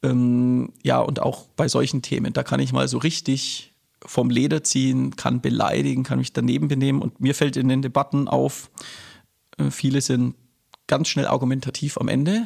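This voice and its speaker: Here a man talks at a moderate pace. His loudness stays very even. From Nuremberg, Franconia (born Berlin, moved at six). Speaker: politician and teacher. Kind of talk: interview conversation. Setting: in person, recorded in Erlangen.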